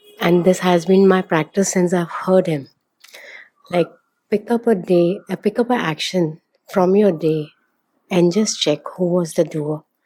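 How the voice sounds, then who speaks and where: A woman at a medium pitch and a fairly slow pace, fairly even in intonation, with long, frequent pauses. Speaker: audience member. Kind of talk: audience question. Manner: hesitant.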